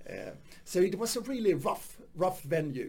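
He speaks with a Swedish accent. His pitch sits high. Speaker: stand-up comedian. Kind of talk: casual interview chat. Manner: halting.

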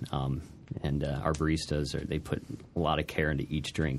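A man's very deep, low voice with vocal fry, an American accent and a fairly quick pace. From Alton, Illinois. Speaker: frozen custard shop owner. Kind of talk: radio interview. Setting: radio studio.

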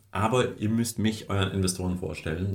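There is audible room echo around this man's voice. He sounds somewhat breathy, with a fairly low pitch. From Kazakhstan, moved to Germany 1989 as a child. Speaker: startup founder. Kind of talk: interview. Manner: animated.

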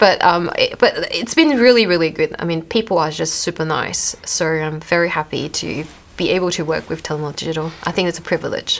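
A woman talks at a fairly quick pace with hardly any pauses. Noticeable background noise can be heard. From Malaysia. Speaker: privacy advisor. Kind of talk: casual interview. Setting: studio.

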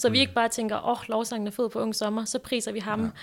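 A woman talks very fast in a fairly high pitch and a monotone, flat intonation, captured in a very clean recording with a silent background. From Denmark, North Zealand (Græsted/Hillerød). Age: 20s. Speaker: youth ministry leader. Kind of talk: casual interview. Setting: small makeshift studio at a summer camp.

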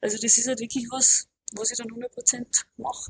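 Dry and close with no echo, a woman's voice carries an Austrian accent at a high pitch. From Austria, Alpine region. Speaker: powerlifter and gym owner. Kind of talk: casual interview.

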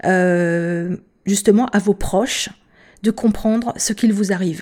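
Very slowly, a woman speaks in a dark, mellow tone at medium pitch with ordinary pitch variation. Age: 50s. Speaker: patient advocate. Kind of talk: testimony. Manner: halting.

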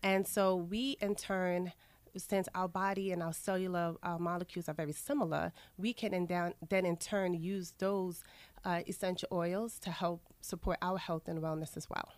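The speaker has a New York accent. The pace is moderate and the intonation fairly even. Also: woman, medium pitch for a woman. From Queens, New York. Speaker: aromatherapy wellness coach. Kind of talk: radio interview.

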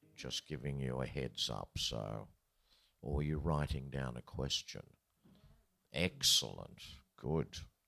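A man's very deep, low voice with an Australian accent, a bright, sharp tone and vocal fry, very slow with long, frequent pauses and ordinary pitch variation. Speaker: festival interviewer, veteran folk musician. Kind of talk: interview on stage. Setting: live event with audience.

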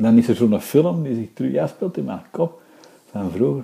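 A man's voice carries a dark, mellow tone. He talks at a fairly slow pace, his pitch swinging very widely. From Antwerp, Belgium. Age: 50s. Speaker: interviewee. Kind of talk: interview.

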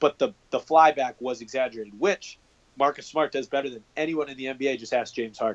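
An ordinary speaking voice with lively intonation at a fairly quick pace, dry and close with no echo. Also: man. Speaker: sports podcast co-host. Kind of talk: casual chat.

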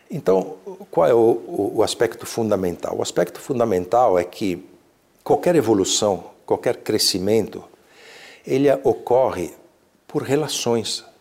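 Long, frequent pauses mark a man's fairly slow delivery in a very clean recording with a silent background. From Brazil, São Paulo. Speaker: leader of a mystical order. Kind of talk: interview. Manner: halting.

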